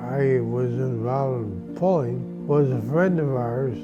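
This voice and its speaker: There is music in the background as a man speaks. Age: 80s+. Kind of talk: interview answer.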